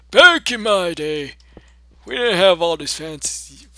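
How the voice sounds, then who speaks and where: A man does a put-on character voice at a high pitch, with lively intonation and a fairly slow pace. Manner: wheezy, grandfatherly.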